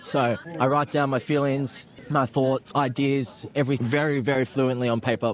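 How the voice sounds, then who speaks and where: Crowd noise sits in the background as a man speaks at a medium pitch. His intonation is monotone and flat, his loudness very even. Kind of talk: street interview. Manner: fast.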